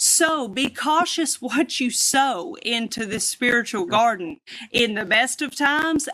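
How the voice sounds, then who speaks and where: Noticeable background noise sits behind a woman with an American accent and a high pitch. She speaks fairly slowly with lively intonation. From US South. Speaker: singer, drummer and preacher. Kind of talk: testimony. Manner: animated. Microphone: crackling audio from technical issues.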